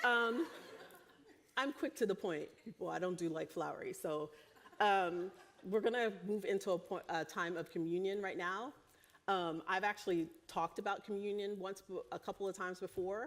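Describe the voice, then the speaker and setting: A woman talks at a moderate pace with a medium pitch and ordinary pitch variation. She has a plain, everyday voice. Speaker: preacher. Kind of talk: sermon. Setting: church.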